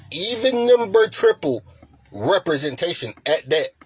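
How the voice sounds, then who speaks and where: Noticeable background noise runs under this recording. A man talks with lively, bouncing intonation. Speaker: lottery strategy channel host. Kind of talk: tutorial.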